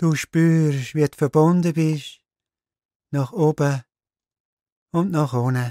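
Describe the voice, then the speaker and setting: This man's fairly high voice moves at a very slow pace with long, frequent pauses, and its loudness stays very even. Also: dry, close sound with no echo. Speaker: meditation guide. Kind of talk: guided meditation. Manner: slow, calm, soft-spoken.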